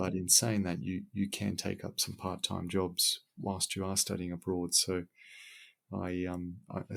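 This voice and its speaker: With an Australian accent, a man speaks at a fairly slow pace in a very deep, low voice with monotone, flat intonation on a very clean recording with a silent background. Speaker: civil engineer. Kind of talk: podcast interview answer.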